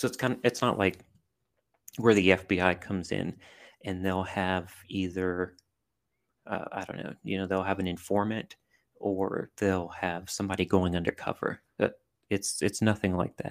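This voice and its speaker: Using an American accent, a man with a very deep, low pitch talks at a moderate pace with fairly even intonation and long, frequent pauses. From US South, southern Louisiana (Cajun country). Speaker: army veteran and intelligence analyst. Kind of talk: casual interview. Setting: remote call.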